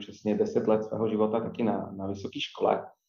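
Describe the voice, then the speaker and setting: Someone with a Polish accent speaks at a moderate pace. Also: man. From Poland, near Wrocław. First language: Polish (speaking Czech). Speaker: coffee chain manager. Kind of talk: interview. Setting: remote recording. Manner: halting, many repetitions.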